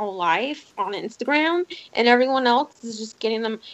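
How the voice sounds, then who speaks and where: An ordinary speaking voice from a woman, fairly high in pitch, with lively intonation at a fairly quick pace. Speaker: streamer. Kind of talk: casual chat. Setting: live stream.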